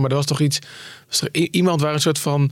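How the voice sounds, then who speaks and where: A man talks at a very fast pace and a fairly high pitch. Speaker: podcast host and editor-in-chief. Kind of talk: casual news discussion. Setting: studio.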